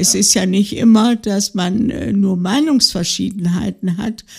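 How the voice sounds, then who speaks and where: A woman's medium-pitched, somewhat breathy voice with ordinary pitch variation. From West Prussia, then Thuringia. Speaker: retiree, interviewee sharing life story. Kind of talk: life-story interview. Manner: halting, many fillers.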